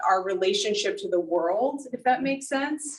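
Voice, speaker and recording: With lively intonation, a woman in a normal speaking voice talks fairly slowly. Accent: American. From US South. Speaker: photographer. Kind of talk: artist talk Q&A. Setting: video call.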